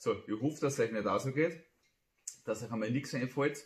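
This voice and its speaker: Lively intonation marks this somewhat breathy voice. There is audible room echo, though the background stays quiet. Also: man. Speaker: amateur poet. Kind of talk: casual talk to camera. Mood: playful, humorous. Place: home room. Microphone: phone near.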